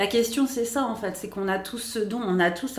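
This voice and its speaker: Audible room echo mixes with noticeable background noise in this recording. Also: woman. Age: 40s. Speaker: astrologer and spiritual therapist. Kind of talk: podcast interview.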